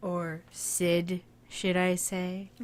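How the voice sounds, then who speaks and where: Using a put-on character voice, a woman speaks raspy at a medium pitch. Her intonation is monotone and flat. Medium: game stream. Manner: calm, self-assured.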